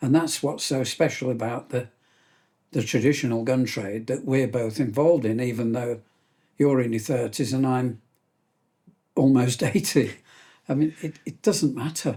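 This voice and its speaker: A man speaks at a moderate pace with a medium pitch, ordinary pitch variation and a dark, mellow tone. He sounds somewhat breathy and leaves long, frequent pauses. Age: 70s. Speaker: gunmaker. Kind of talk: casual chat.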